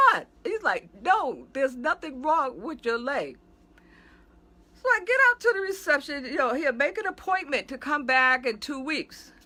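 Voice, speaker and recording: A woman's raised, projected voice, high in pitch and animated in tone, with very wide pitch swings at a fairly slow pace. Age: 60s. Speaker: pastor. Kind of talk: casual video monologue.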